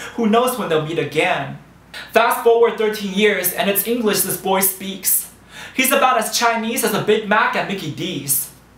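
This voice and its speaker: Noticeable background noise sits behind a man's voice. His pitch is high, with ordinary variation. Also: moderate pace. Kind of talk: spoken word storytelling. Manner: rhythmic, rhyming delivery.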